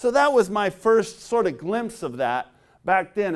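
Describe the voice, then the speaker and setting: Someone talks with a Californian accent at a moderate pace. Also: man, very clean recording, silent background. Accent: General American (Californian). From Southern California. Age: 40s. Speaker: preacher and basketball player. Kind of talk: sermon.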